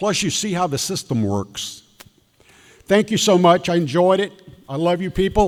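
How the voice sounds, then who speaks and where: A man with a Southern US accent speaks at a moderate pace in a high pitch, with ordinary pitch variation. He leaves long, frequent pauses. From South Carolina (Greenwood). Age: 80s+. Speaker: elections official. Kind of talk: talk with Q&A to audience.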